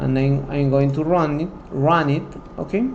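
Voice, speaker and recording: A man with a non-native accent speaks at a fairly slow pace with ordinary pitch variation. There is audible room echo and noticeable background noise. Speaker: software tutorial instructor. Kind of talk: tutorial. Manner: halting.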